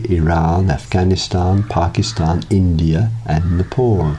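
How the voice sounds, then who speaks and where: Over noticeable background noise, a man with a very deep, low pitch speaks with lively intonation. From South London, England. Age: 60s. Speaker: meditation teacher. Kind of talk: scripted narration.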